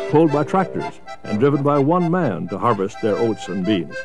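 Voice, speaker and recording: Medium pitch from a man, moderate pace and very wide pitch swings, with music in the background. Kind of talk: documentary narration.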